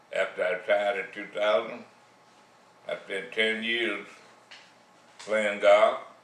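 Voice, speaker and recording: A man speaks at a fairly slow pace, with long, frequent pauses. Audible room echo and noticeable background noise surround his voice. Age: 80s+. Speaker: retiree sharing life advice. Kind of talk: monologue.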